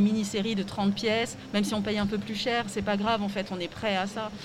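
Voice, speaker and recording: A woman talks at a moderate pace with a medium pitch. Noticeable background noise runs behind her. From Alsace, France (Strasbourg). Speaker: fashion designer and craftswoman. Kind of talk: interview. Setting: live at a trade fair stand.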